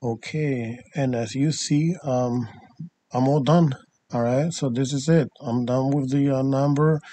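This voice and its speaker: Speaking with a non-native accent, a man goes at a fairly slow pace with fairly even intonation. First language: not English. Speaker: DIY tutorial maker, party rental business owner. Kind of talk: tutorial. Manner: halting, many fillers.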